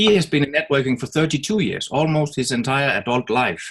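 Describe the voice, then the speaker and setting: This man talks at a moderate pace. His pitch sits fairly high. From Denmark. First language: Danish. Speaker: network marketer. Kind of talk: webinar presentation.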